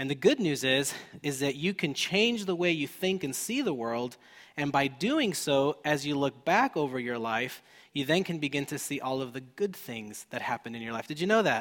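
Lively intonation and a moderate pace from a man with a fairly high pitch, a plain, everyday voice. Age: 30s. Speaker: pastor. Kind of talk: sermon.

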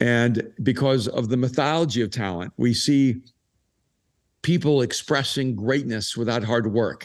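At a fairly slow pace, a man with an unremarkable speaking voice talks in a medium pitch with ordinary pitch variation. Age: 60s. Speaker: author and pastor. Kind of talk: recorded live interview, casual conversation.

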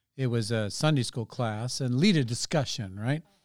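Speech in an American accent comes at a moderate pace with ordinary pitch variation on a very clean recording with a silent background. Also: man. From California, San Francisco Bay Area. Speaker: pastor. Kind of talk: interview about personal testimony.

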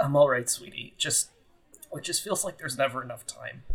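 Using a put-on character voice, a man speaks raspily at a moderate pace with a fairly high pitch, a sad tone and big swings in loudness. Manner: tender, sad.

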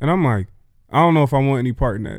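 A man speaks with a dark, mellow tone. The recording is very clean, with a silent background. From US Northeast, Philadelphia. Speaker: pastor. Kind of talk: casual chat.

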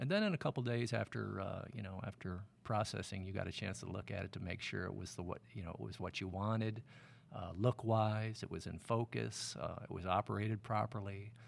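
With an American accent and some vocal fry, a man talks fairly quickly at a fairly low pitch with ordinary pitch variation. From Michigan, outside Detroit. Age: 50s. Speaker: film camera assistant (focus puller). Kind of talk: casual interview. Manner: hesitant, many fillers.

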